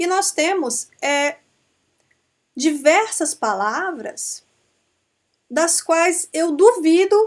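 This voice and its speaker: Speaking in an Amazonian Brazilian accent, a woman uses lively intonation. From Brazil, Amazonas. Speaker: law professor. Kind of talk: lecture. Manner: conversational, with frequent fillers.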